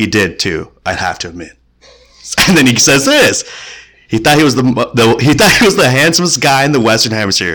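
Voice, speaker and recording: With vocal fry and a bright, sharp tone, a man at a medium pitch talks at a fairly quick pace, his pitch swinging very widely. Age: 20s. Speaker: podcast co-host. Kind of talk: casual book discussion.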